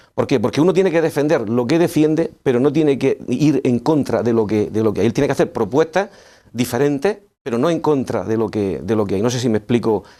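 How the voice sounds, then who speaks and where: On a very clean recording with a silent background, a man talks at a fairly quick pace and medium pitch. His tone is dark and mellow, with lively intonation. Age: 60s. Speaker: local politician. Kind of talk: TV interview.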